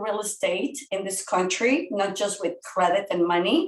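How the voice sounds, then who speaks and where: A woman speaks with a Spanish accent. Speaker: real estate educator. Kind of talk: podcast interview.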